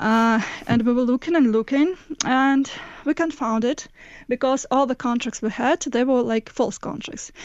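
At a moderate pace, a woman speaks with a fairly high pitch. Her pitch varies in an ordinary way. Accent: Russian. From Moscow, Russia. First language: Russian. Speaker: investigative journalist. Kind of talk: interview.

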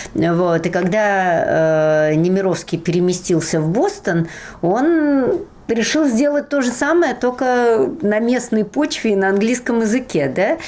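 A woman's fairly high voice at a very slow pace, with very wide pitch swings and very even loudness. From Russia, Moscow. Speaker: literature professor and translator. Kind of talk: interview.

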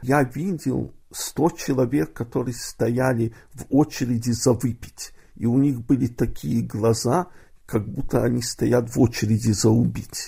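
A man speaks at a very slow pace in a medium pitch with a dark, mellow tone. There's vocal fry, and his pitch varies an ordinary amount. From Odessa, Ukraine. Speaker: poet. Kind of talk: interview.

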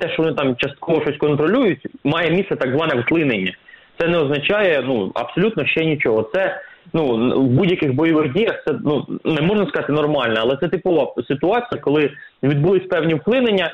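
A man talks at a fairly quick pace in a plain, everyday voice, fairly high in pitch, with lively intonation and very even loudness. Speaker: military expert. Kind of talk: expert interview.

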